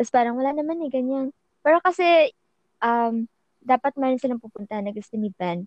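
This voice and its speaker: There is lively intonation in this voice. The speaker is a woman. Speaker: podcast co-host. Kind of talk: casual chat. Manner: sing-song.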